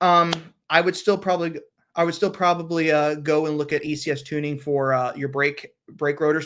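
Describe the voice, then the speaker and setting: On a very clean recording with a silent background, a man with a fairly high pitch talks at a fairly quick pace and with fairly even intonation. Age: 40s. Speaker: car channel host. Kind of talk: live stream Q&A chat. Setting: live stream. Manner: fast.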